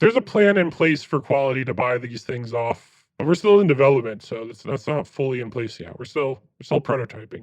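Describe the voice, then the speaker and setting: A man puts on a raspy character voice at a medium pitch, speaking at a fairly quick pace. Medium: actual play. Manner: stammering, hesitant.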